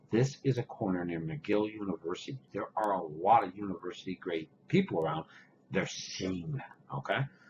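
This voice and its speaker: A man's very deep, low voice, somewhat breathy, with lively intonation. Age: 60s. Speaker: vaping vlogger. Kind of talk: rant.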